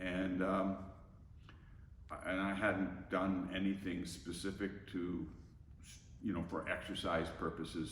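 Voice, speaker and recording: A man speaks at a fairly slow pace in a very deep, low pitch. The room echo is audible. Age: 70s. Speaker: gym member. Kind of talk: testimony. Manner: halting, stammering.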